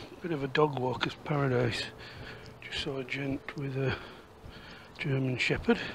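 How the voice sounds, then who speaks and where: Against noticeable background noise, a man with a Yorkshire accent speaks at a moderate pace and fairly high pitch, with fairly even intonation, big swings in loudness and long, frequent pauses. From Yorkshire, northern England. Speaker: walking and history vlogger. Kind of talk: casual walk-and-talk vlog narration; voiceover narration. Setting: outdoors.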